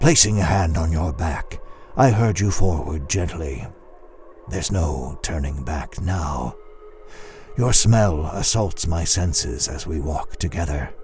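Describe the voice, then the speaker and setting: A man's put-on character voice at a fairly slow pace over clear music in the background. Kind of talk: second-person horror story narration. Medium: audio drama. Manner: slow, menacing.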